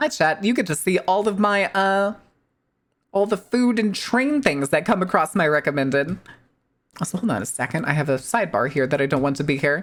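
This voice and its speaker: A woman with an American accent talks at a fairly quick pace and medium pitch, her very wide pitch swings paired with very even loudness. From US Midwest. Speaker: streamer. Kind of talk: casual chat. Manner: fast; animated.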